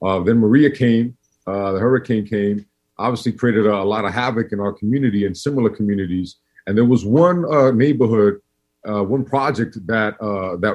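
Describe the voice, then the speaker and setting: Speaking at a fairly quick pace, a man with a New York accent uses a fairly low pitch and ordinary pitch variation. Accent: New York East Coast. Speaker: community organization director. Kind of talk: podcast interview. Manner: casual, many fillers and restarts.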